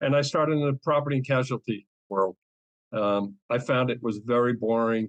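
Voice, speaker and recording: A man with an American accent speaks at a medium pitch, with ordinary pitch variation. The sound is dry and close with no echo, and the loudness stays very even. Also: moderate pace. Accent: Boston accent, comes out once in a while. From New England, Boston area. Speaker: cyber insurance advisor. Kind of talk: interview. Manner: hesitant, many fillers.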